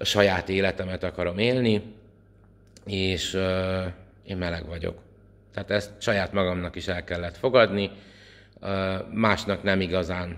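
A man's very deep, low pitch at a fairly slow pace, with fairly even intonation and long, frequent pauses. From Hungary. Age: 40s. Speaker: priest and vlogger; priest, vlogger. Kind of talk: opinion vlog monologue. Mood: indignant, earnest. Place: home room. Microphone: phone near.

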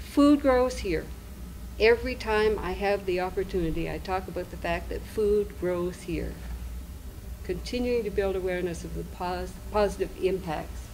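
Room echo is audible as a woman speaks at a moderate pace. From Nova Scotia. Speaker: investment co-op founder presenter. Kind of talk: conference presentation.

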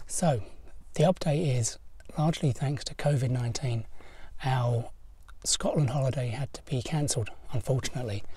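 At a moderate pace, the voice has a slightly mellow tone and ordinary pitch variation. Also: man, medium pitch for a man.

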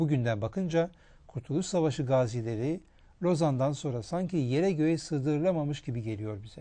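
With a dark, mellow tone and lively intonation, a man speaks at a moderate pace. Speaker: historian, TV presenter. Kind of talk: scripted narration. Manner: formal.

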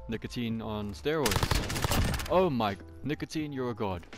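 Over music in the background, a man with a South African accent speaks with lively intonation. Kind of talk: casual gameplay commentary. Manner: upbeat, joking.

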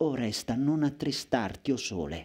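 At a moderate pace, a man speaks with a dark, mellow tone. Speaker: poet reciter. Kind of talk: poetry reading aloud. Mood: intense, lyrical, dramatic. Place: stage. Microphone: headset.

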